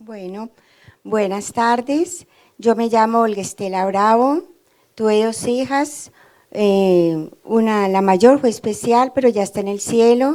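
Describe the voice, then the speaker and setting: A woman's fairly high, dark, mellow voice at a very slow pace with ordinary pitch variation. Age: 60s. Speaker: homemaker. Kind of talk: testimony. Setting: studio.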